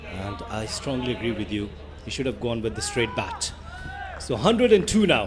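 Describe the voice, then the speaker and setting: Music plays behind a man's voice. He speaks at a moderate pace in a medium pitch. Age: young. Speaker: cricket commentator. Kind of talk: live commentary. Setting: commentary box.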